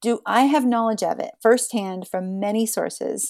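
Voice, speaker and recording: With an American accent, a woman talks in a plain, everyday voice at a fairly slow pace, her fairly high pitch showing ordinary variation. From southeastern Ohio. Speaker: singer-songwriter. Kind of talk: casual chat.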